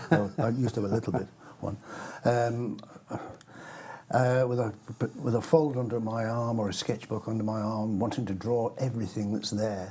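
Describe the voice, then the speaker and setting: At a moderate pace and medium pitch, a man talks with fairly even intonation and long, frequent pauses. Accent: English. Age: 70s. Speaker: cartoonist. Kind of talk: interview.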